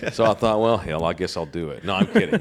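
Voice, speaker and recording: A man speaks at a medium pitch with a Texan accent. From Texas. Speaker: sports media personality. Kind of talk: casual chat.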